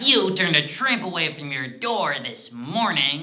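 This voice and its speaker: Here a man puts on a character voice. The pace he keeps is moderate. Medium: stage play. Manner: leering, sarcastic, accusing.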